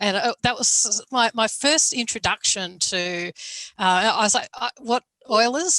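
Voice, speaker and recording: A woman with an Australian accent talks at a very slow pace in a fairly high, bright and sharp voice, recorded with a dry, close sound and no echo. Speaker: academic moderator. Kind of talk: panel discussion. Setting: video call.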